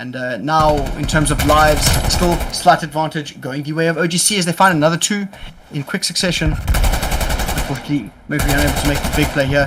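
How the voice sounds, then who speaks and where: Noticeable background noise sits behind a man talking at a very fast pace. His fairly high pitch has ordinary variation. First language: not English. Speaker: esports caster. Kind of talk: live commentary. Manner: animated.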